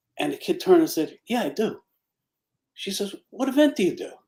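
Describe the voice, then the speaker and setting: At a moderate pace, a man talks with an extremely high pitch. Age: 60s. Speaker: retired police officer and charity volunteer. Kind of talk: casual chat.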